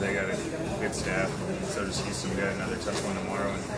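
Loud background noise surrounds a man talking at a very fast pace. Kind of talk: interview answer. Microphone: handheld.

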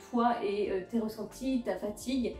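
With faint music playing behind her and audible echo in the room, a woman talks at a moderate pace with fairly even intonation. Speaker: fitness content creator. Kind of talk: casual talk to camera. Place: home room. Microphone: phone near.

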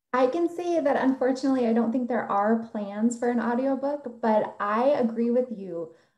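With hardly any pauses, a woman speaks high-pitched at a moderate pace with ordinary pitch variation over a quiet background. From South Dakota. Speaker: poet. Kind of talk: poetry reading; panel discussion. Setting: video call. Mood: warm, reflective, some laughter. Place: home room. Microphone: video call.

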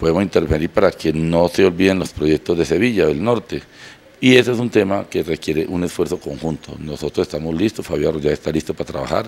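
A man speaks at a very deep, low pitch with ordinary pitch variation. His pace is fairly quick. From Colombia, Andes (Antioquia) and La Unión, Nariño; Colombia. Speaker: politician. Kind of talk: press statement; interview answer. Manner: halting, repeats words. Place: home room. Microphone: handheld.

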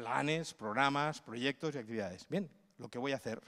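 A man talks with lively intonation. The background is quiet. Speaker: cultural management consultant and lecturer; conference speaker. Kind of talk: conference talk. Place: hall. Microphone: handheld.

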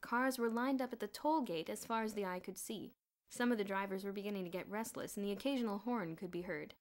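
In a natural reading voice with ordinary pitch variation, the speaker reads over a quiet background.

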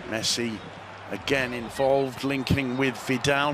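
A man's fairly high voice at a very slow pace, against noticeable background noise. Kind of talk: sports match commentary recap, highlights voiceover. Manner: brisk, fluent, even-toned match narration; occasionally hesitant with filler 'uh'.

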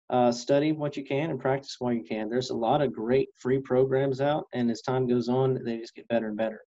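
This man has a Texan accent and a dark, mellow tone at a medium pitch. He talks at a moderate pace against a quiet background. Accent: Texan American. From East Texas. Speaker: radio reporter and photographer; interviewee. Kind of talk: interview. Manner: hesitant with fillers. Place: office. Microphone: webcam.

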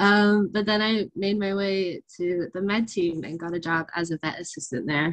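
A woman with a normal speaking voice, fairly slow, with ordinary pitch variation against a quiet background. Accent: American. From USA. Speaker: veterinary student. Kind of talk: presentation and Q&A answers. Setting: online webinar. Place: home room. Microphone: video call.

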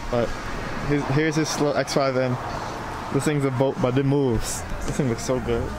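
Noticeable background noise surrounds a man speaking at a fairly slow pace, the sound dry with no echo. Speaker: car vlogger. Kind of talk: casual vlog chat. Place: street. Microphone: phone near.

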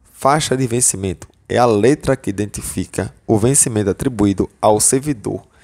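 A man speaks at a moderate pace with a fairly low pitch. It is a normal speaking voice. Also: quiet background. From Northeast Brazil, João Pessoa, Paraíba; Paraíba, Brazil. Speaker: exam-prep teacher / educational YouTuber; exam-prep teacher, educational YouTuber. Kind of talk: tutorial. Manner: casual, filler-heavy (tá, beleza).

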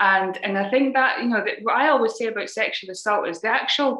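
A woman speaks at a fairly quick pace with a slight Scottish accent, her voice carrying an audible room echo over a quiet background. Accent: mild Scottish. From Scotland. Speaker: anti-human-trafficking charity founder and security specialist. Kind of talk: interview. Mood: earnest, serious topic. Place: home room. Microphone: video call.

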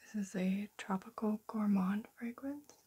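Soft-spoken delivery at a fairly slow pace, set against a quiet background. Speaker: perfume reviewer. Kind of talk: product review talk. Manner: soft-spoken, hushed ASMR delivery.

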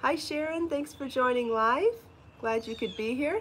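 Light background noise is present. The speaking pace is moderate. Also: woman. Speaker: knitting and crochet designer and podcast host; podcast host. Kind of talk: casual live-stream chat. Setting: outdoors. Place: home room. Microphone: phone near.

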